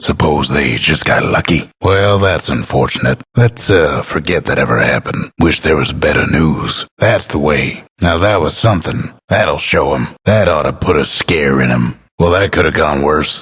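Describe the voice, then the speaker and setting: A man uses a put-on character voice, raspy and very deep, with lively intonation. He keeps a moderate pace and very even loudness. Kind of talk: video game announcer lines. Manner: drawling, laid-back.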